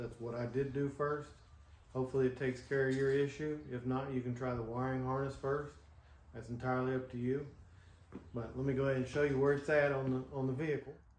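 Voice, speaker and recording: A man's very fast, monotone and flat delivery, with audible room echo. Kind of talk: tutorial. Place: garage. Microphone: camera far.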